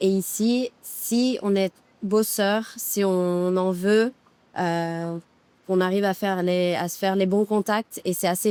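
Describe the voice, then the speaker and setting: Very slowly, a woman speaks at a medium pitch with a dark, mellow tone and fairly even intonation, in a dry, close sound with no echo. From Monaco. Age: 30s. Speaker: public relations freelancer, facial client. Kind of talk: casual interview chat. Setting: outdoors by the sea in Dubai. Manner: hesitant, many fillers.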